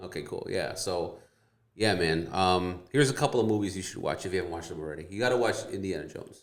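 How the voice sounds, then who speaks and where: There is audible room echo around the speaker. A man with an American accent talks at a fairly quick pace. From Wisconsin, US Midwest. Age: 40s. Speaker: realtor. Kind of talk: casual chat.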